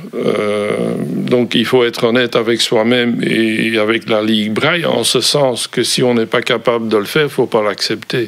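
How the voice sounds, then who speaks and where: In a strong Brussels accent, a man at medium pitch speaks at a fairly slow pace with hardly any pauses, fairly even intonation and very even loudness, over noticeable background noise. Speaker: volunteer. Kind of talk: interview. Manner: hesitant, many fillers.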